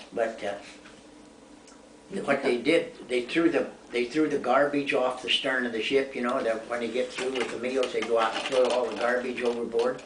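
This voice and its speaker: Noticeable background noise and audible room echo frame a man's voice. He speaks at a moderate pace and medium pitch with fairly even intonation. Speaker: war veteran. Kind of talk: casual chat. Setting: home.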